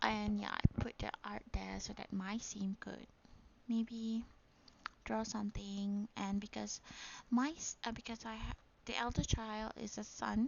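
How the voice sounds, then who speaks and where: Fairly slow speech comes from a woman with a Malaysian accent. Her loudness swings widely. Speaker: gaming YouTuber. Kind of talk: casual gameplay narration. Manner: hesitant, many fillers.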